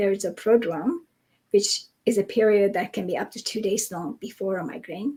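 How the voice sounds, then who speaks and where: At a moderate pace, a woman speaks in a somewhat breathy voice of fairly high pitch with ordinary pitch variation. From Europe. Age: 60s. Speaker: migraine researcher. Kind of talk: interview.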